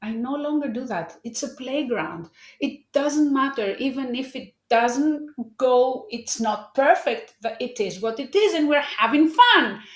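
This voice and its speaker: The delivery moves at a fairly slow pace with lively intonation. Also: woman, high pitch for a woman. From Greece. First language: Greek. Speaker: life coach. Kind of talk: interview. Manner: halting.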